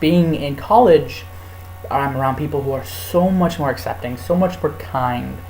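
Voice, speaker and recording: A man's voice swings very widely in pitch, with noticeable background noise and audible room echo. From California. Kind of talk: casual vlog. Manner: fast; animated. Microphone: laptop mic.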